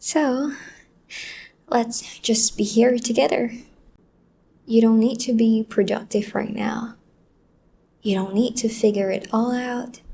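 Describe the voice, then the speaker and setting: Soft-spoken and dark, mellow in tone, a woman talks at a fairly high pitch and very slow pace with fairly even intonation and long, frequent pauses. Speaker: voice actor / audio creator. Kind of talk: soft-spoken comforting talk to the listener, ASMR-style. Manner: soft, calming, consoling.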